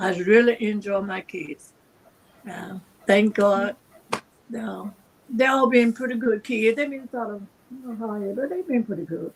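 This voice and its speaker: A woman with a fairly high voice speaks at a fairly slow pace, using long, frequent pauses and ordinary pitch variation. Noticeable background noise can be heard. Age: 80s+. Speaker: cancer survivor. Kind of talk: interview. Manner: halting.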